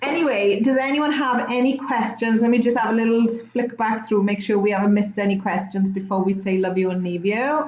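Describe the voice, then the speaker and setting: Against noticeable background noise, a woman with a fairly high pitch talks at a fairly quick pace with hardly any pauses, ordinary pitch variation and very even loudness. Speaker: chat show host. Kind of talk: live-streamed casual chat. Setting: live video stream.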